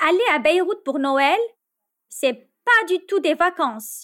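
On a very clean recording with a silent background, a woman talks at a very slow pace with lively intonation. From Lebanon. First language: Arabic (speaking Spanish). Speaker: storyteller sharing a travel story. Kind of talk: scripted narration.

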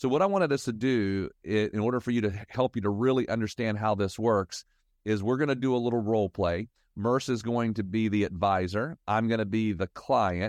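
A man talks at a fairly quick pace in an unremarkable speaking voice, with a fairly low pitch, ordinary pitch variation and very even loudness. The sound is dry and close with no echo, over a quiet background. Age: 50s. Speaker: financial advisor. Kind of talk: casual chat.

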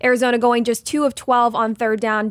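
A woman's fairly quick, flat, monotone delivery in a very clean recording with a silent background. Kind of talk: sports talk show recap. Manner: brisk, clear, newsy play-by-play recap delivery.

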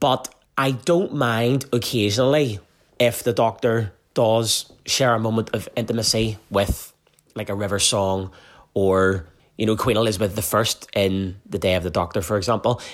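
Recorded very cleanly against a silent background, a man with a Northern Irish accent speaks with ordinary pitch variation. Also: fairly low pitch for a man, moderate pace. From Northern Ireland. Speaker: fan submitting a response. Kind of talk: playful recorded listener response.

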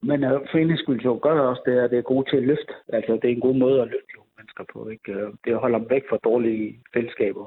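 Speaking at a moderate pace with hardly any pauses, a man keeps a medium pitch and fairly even intonation. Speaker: boxing coach. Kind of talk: phone interview. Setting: phone call. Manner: halting.

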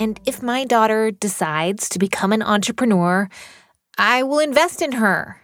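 A woman speaks at a moderate pace and a medium pitch, with ordinary pitch variation. It is a plain, everyday voice. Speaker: podcast host. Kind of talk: interview.

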